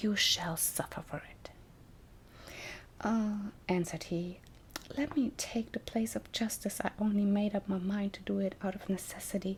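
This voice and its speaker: Soft-spoken, the speaker talks with a non-native accent. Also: moderate pace. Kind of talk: fairy tale reading.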